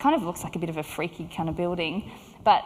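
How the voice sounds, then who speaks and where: An Australian accent in a very clean recording with a silent background. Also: woman. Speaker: clinical psychologist. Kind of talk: conference talk. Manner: hesitant with many fillers.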